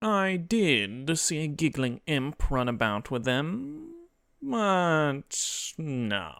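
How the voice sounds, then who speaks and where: In a nasal put-on character voice, a man with a fairly high pitch talks at a very slow pace in a very clean recording with a silent background. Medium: read story. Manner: pompous, smug.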